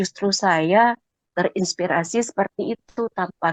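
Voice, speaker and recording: The recording sounds dry and close, without echo. Her voice sits at a medium pitch, and she varies it in an ordinary way. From Sumatra. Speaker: Quran study participant. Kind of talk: personal story in a study group.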